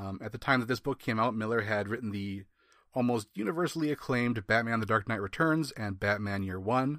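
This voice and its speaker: On a very clean recording with a silent background, a man speaks fairly quickly at a medium pitch with ordinary pitch variation. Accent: Wisconsin. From US Midwest. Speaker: comics podcast co-host. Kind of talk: casual chat.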